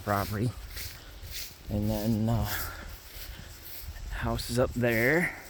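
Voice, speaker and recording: A man speaks at a fairly slow pace with long, frequent pauses. The room echo is audible. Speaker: landowner showing his property. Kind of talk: casual walkthrough vlog. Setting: outdoors in the woods. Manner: halting, stammers a lot.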